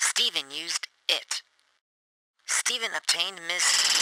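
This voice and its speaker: At a middle pitch and a fairly slow pace, the speaker uses a put-on character voice. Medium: read story.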